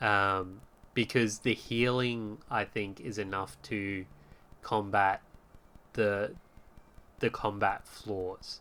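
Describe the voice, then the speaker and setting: A man speaks very slowly in a strong Australian accent. His tone is bright and sharp. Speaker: podcast host. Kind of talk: casual chat. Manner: hesitant, many fillers.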